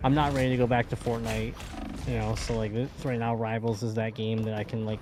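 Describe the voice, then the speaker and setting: There is noticeable background noise as a man talks at a fairly quick pace, at medium pitch with monotone, flat intonation. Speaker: gaming streamer. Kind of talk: casual chat.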